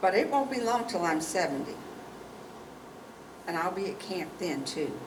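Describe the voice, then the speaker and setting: With lively intonation, a woman speaks at a medium pitch and moderate pace, with noticeable background noise and audible room echo. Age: 60s. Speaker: pastor and instructor. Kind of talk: workshop teaching discussion.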